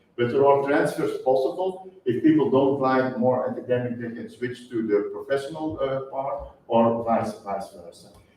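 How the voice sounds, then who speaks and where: With a Flemish accent, a man at medium pitch speaks at a moderate pace with lively intonation, hardly any pauses and big swings in loudness. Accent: Flemish Dutch accent in English. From Flanders, Belgium. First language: Dutch. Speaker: university policy advisor and chemistry lecturer. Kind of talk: lecture. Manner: halting.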